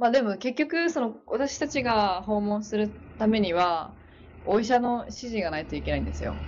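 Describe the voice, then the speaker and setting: This woman's voice sits at a fairly high pitch and sounds somewhat breathy. She keeps to a moderate pace. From Hokkaido, Sapporo. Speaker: nurse. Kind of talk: casual interview.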